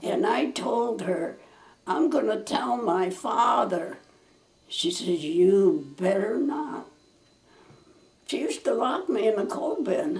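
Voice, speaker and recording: Speaking at a very slow pace with long, frequent pauses, a woman uses a fairly high pitch and very wide pitch swings against noticeable background noise. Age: 90s. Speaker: family elder recalling childhood. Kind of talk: interview answer. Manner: slow, halting.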